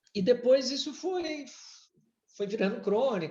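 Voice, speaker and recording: A man speaks with a slight Brazilian accent. His pace is fairly slow. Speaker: former executive and writer. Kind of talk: podcast interview. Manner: halting, many repetitions.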